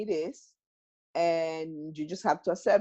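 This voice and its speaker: A woman speaks with a dark, mellow tone. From Mexico. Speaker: self-healing workshop organizer. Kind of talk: interview answer.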